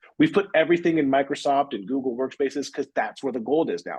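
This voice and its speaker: A man speaks very fast in a fairly high-pitched voice with vocal fry. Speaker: cybersecurity vendor presenter. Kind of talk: webinar presentation. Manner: animated.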